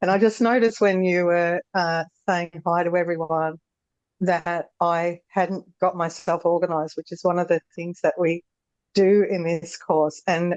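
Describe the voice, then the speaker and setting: A woman's fairly low, monotone, flat voice with a strong Australian accent, at a fairly slow pace, in a dry, close sound with no echo. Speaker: former horse trainer, course participant. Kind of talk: casual interview conversation. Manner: halting, many fillers.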